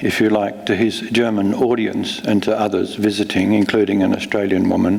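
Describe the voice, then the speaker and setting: Through audible room echo and noticeable background noise, a man talks at a moderate pace. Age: 70s. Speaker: novelist. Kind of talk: onstage conversation; reading aloud. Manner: halting, many fillers.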